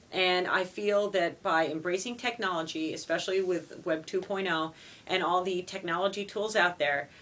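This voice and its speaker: At a moderate pace and medium pitch, a woman speaks with very even loudness and fairly even intonation over noticeable background noise. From Quebec, Montreal. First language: French. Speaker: middle school language teacher. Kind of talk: interview.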